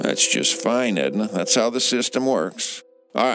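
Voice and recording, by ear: A natural voice comes through. It belongs to someone reading aloud.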